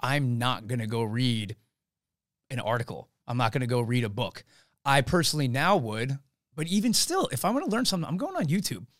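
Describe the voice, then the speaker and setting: Talking at a fairly quick pace, a man with a medium pitch uses lively intonation in a normal speaking voice. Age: 30s. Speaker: fitness coach and entrepreneur. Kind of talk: casual chat. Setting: studio.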